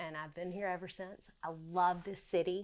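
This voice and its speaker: Intonation stays fairly even in this voice with a Southern US accent. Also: woman. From US South, South Carolina. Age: 40s. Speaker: fashion designer. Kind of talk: casual studio tour. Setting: home sewing studio. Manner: casual, with frequent fillers.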